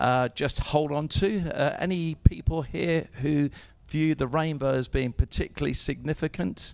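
A man with an ordinary speaking voice talks fairly slowly. His pitch is fairly high, with ordinary pitch variation. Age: 60s. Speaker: church member giving prophetic words. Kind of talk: prophetic ministry.

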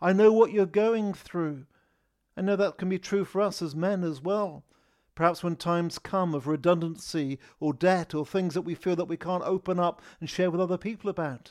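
A man talks at a high pitch with fairly even intonation. His voice sounds dry and close, without echo. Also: moderate pace. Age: 50s. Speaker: lay preacher. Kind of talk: sermon. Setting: recorded online service.

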